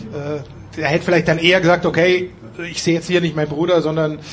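A man speaks with fairly even intonation. Noticeable noise sits in the background. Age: old. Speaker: sports commentator. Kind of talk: casual chat.

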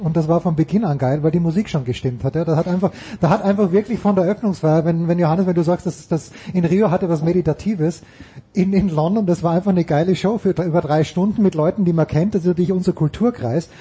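Very fast speech holds a very even loudness, with ordinary pitch variation over noticeable background noise. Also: man, high pitch for a man. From Austria. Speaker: sports podcast host. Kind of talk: casual chat. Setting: stadium.

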